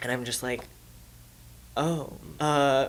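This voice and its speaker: This is a man's voice. He talks at a fairly slow pace. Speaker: podcast guest sharing coming-out story. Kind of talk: casual chat. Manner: animated.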